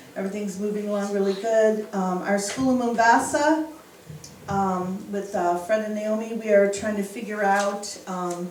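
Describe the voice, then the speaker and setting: With an American accent, a woman speaks at a medium pitch and moderate pace in fairly even intonation, amid noticeable background noise and audible room echo. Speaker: missionary. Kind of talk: church mission report with questions. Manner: casual, hesitant with fillers.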